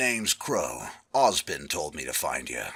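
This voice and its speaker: In a put-on character voice, a man speaks raspily at a moderate pace. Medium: read story.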